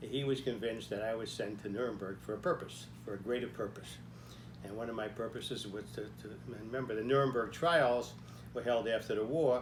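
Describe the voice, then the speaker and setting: Man's medium-pitched voice at a fairly quick pace, fairly even intonation, audible room echo. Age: 90s. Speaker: army veteran telling life story. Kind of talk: personal storytelling talk. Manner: halting, with frequent fillers.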